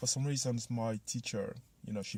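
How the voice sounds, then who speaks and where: A man speaks with a slight French accent and a dark, mellow tone. His voice is somewhat breathy on a very clean recording with a silent background. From Ivory Coast. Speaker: motivational vlogger. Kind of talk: personal story vlog. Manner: casual, many fillers.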